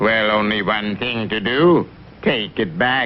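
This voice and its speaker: Using a cartoonish character voice of medium pitch, a man speaks at a fairly slow pace with clear background noise. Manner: precise, fond of fancy alliteration.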